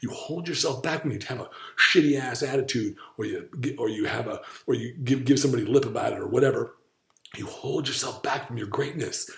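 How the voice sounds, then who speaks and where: A man talks at a fairly quick pace, with audible room echo around his voice. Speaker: diet coach and podcast host. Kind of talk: casual chat. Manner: animated.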